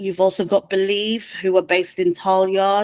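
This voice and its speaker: A woman speaks at a medium pitch in a plain, everyday voice. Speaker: music manager. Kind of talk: online presentation. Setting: video call.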